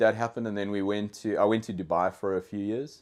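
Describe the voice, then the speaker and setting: On a very clean recording with a silent background, a man with a South African accent talks fairly quickly at a fairly low pitch with fairly even intonation. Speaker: dog trainer. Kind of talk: casual podcast interview. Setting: in-person studio. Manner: halting, many fillers and repeated words.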